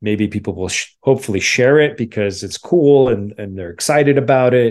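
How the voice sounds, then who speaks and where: A man talks with a New Jersey accent. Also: quiet background. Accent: New Jersey American. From New Jersey, near New York City. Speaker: documentary filmmaker. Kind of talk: interview conversation.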